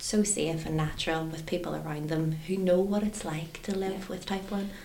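Talking at a fairly quick pace, a woman with a fairly low pitch keeps her intonation fairly even over noticeable background noise. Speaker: charity manager. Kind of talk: casual chat.

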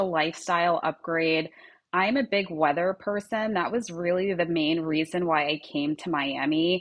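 A woman with a slight Long Island accent talks at a fairly slow pace, her fairly low voice showing ordinary pitch variation. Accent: Long Island New York, slight. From US Northeast, Long Island, New York. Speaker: brand founder and CEO. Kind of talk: casual interview chat. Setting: video call from Miami.

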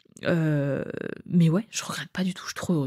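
The voice belongs to a woman. It sits at a very deep, low pitch. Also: very clean recording, silent background. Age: 20s. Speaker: podcast host. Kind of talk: solo casual monologue.

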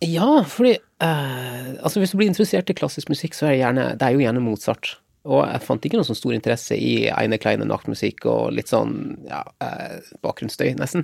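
A man at a moderate pace with hardly any pauses, in a dry, close sound with no echo. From Lofoten, northern Norway. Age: 40s. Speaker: war veteran. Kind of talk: interview conversation. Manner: halting with fillers.

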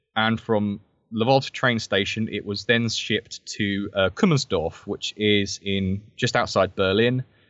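A man with a southern English accent is speaking. His pitch is fairly low and his pace fairly slow. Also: fairly even intonation. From southern England, Brighton. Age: 20s. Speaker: military historian and author. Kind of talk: interview. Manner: hesitant, many fillers.

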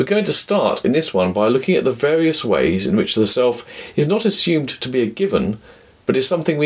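A man with a British accent talks at a fairly quick pace. His pitch swings very widely, and there is vocal fry. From Britain. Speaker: podcast host, philosopher. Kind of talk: scripted narration.

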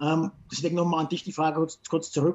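A high-pitched man's monotone, flat delivery against noticeable background noise. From Franconia, Germany. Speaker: podcast host. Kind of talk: casual chat.

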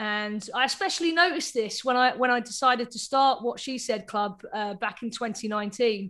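Over a silent background on a very clean recording, a woman with a bright, sharp tone and fairly high pitch talks at a fairly quick pace with hardly any pauses and ordinary pitch variation. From Cambridge, England. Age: 30s. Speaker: club DJ. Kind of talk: casual chat.

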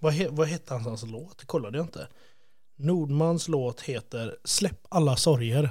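A man's fairly high, somewhat breathy voice with a dark, mellow tone, a fairly slow pace, ordinary pitch variation and big swings in loudness. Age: 30s. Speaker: podcast host. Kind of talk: casual chat.

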